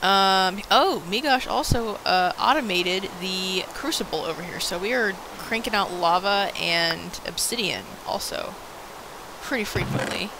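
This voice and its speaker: The pace is fairly slow. Noticeable background noise runs under the voice. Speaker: gaming video co-host. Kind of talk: casual let's play chat. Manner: loud; animated.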